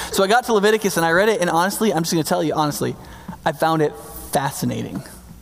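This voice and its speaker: A man mumbles at a very fast pace and high pitch with ordinary pitch variation. Background noise is noticeable. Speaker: pastor. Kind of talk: sermon. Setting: church. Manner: fast talker, mumbles words.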